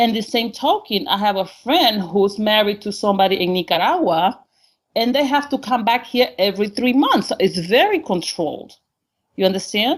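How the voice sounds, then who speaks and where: In a Honduran accent, a woman speaks with a fairly high pitch. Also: lively intonation, moderate pace. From Honduras. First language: Spanish. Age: 50s. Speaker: caller. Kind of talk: call-in interview. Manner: halting.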